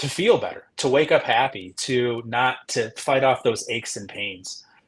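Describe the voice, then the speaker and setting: The man's voice has a somewhat breathy quality. Its pitch sits in the middle range. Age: 40s. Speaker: gym member sharing fitness journey. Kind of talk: casual interview. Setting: livestream. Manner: halting.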